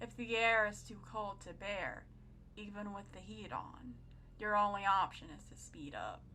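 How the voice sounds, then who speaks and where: Someone is whispering. The pace is very slow. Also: woman. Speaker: creepypasta narrator. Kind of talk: horror story narration. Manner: whispering, creepy.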